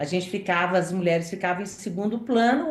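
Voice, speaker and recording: A woman's medium-pitched voice with audible room echo and noticeable background noise. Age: 60s. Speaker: journalist. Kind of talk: interview.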